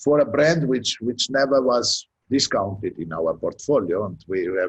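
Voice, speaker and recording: Speaking with a non-native accent and vocal fry, a man of medium pitch uses lively intonation at a moderate pace. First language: not English. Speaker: beauty brand distributor. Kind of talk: panel discussion. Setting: video call. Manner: halting.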